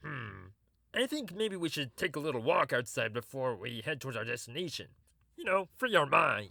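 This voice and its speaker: Using a put-on character voice with a warm tone, a man speaks at a moderate pace and fairly high pitch, with very wide pitch swings and big swings in loudness. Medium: audio drama. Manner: awkward, warm.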